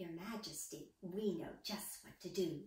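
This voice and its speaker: A woman puts on a character voice at a medium pitch. A slight echo surrounds it. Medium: read story. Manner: self-assured.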